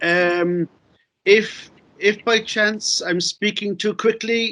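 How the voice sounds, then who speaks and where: A high-pitched man's raised, projected voice in a Cork accent, bright and sharp in tone with fairly even intonation. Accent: Irish, Cork. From Ireland, Cork City. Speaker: novelist and playwright. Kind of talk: conference talk. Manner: halting.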